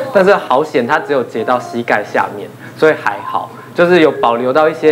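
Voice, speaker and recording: Over light background noise, a man speaks in an unremarkable speaking voice with ordinary pitch variation. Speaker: rehabilitation therapist; panelist. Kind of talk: casual talk show chat. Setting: studio. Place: studio. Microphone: lapel.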